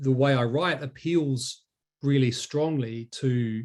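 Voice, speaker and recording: Speaking with a New Zealand accent, a man keeps a medium pitch and fairly even intonation. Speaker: academic researcher. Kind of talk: academic talk. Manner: halting, many fillers and repetitions.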